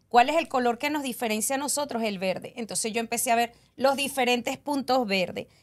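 Against a quiet background, a woman with a fairly high pitch talks at a moderate pace with ordinary pitch variation. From Venezuela. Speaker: cleaning business owner; guest. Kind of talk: podcast interview. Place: studio. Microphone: studio mic.

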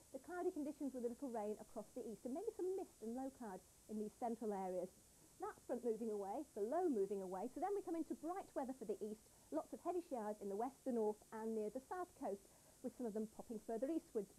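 A woman with a high pitch and a dark, mellow tone talks at a very fast pace, her pitch swinging very widely. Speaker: presenter. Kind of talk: broadcast weather forecast. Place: studio. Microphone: lapel.

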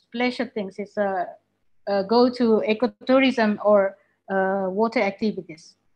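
With an Indonesian accent, a woman talks with ordinary pitch variation against a quiet background. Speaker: university lecturer and webinar moderator; university lecturer, webinar moderator. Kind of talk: webinar presentation. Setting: video call. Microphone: video call.

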